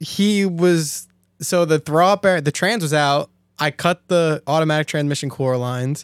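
A man with an American accent and a fairly high pitch has a plain, everyday voice with ordinary pitch variation, at a moderate pace. The recording is very clean, with a silent background, and sounds dry and close, with no echo. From Staten Island, New York. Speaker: drifter and mechanic. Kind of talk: casual chat.

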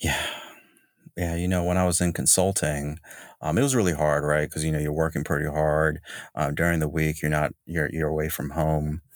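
In an American accent, a man speaks at a moderate pace with a very deep, low pitch and monotone, flat intonation. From US South, North Carolina. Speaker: streetwear company founder. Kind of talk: casual interview.

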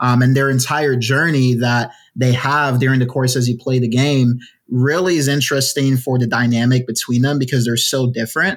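A man's normal speaking voice, medium-pitched, with fairly even intonation and a moderate pace. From Ghana, moved to the US as a child. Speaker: indie game studio founder and creative director. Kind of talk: casual interview.

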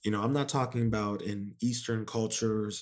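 A man with a plain, everyday voice speaks at medium pitch and a moderate pace, his intonation fairly even. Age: 20s. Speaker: podcast host. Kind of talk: motivational monologue. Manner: casual with many fillers.

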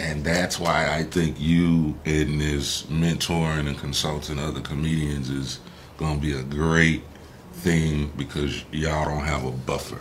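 Over noticeable background noise, the speech moves at a fairly slow pace with a monotone, flat intonation. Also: man, very deep, low pitch for a man. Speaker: entertainer and entrepreneur. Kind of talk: casual interview.

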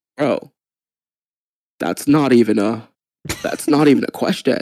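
A man's put-on character voice, raspy and medium in pitch, at a fairly slow pace.

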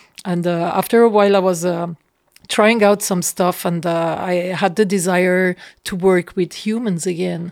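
The speaker uses monotone, flat intonation at a moderate pace. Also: woman, medium pitch for a woman. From Switzerland. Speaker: photographer. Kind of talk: interview. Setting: studio. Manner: halting.

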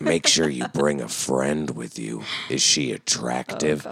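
A man's put-on character voice, very deep and low in pitch, fairly slow, with fairly even intonation. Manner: creepy, leering.

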